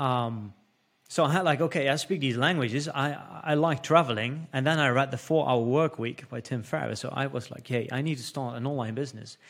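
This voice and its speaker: A man with a Dutch accent speaks at a fairly quick pace. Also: medium pitch for a man, ordinary pitch variation. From Netherlands. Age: 30s. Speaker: entrepreneur. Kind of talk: casual interview. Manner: halting.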